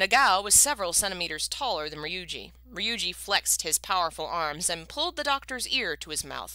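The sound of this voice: This is an unforced reading voice. Nothing else is layered over it.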